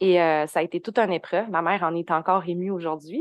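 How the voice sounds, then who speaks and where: In a Quebec accent, a woman speaks at a fairly low pitch with fairly even intonation, in a dry, close sound with no echo against a quiet background. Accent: Québécois French. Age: 20s. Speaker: human design and astrology coach, entrepreneur. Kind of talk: casual interview.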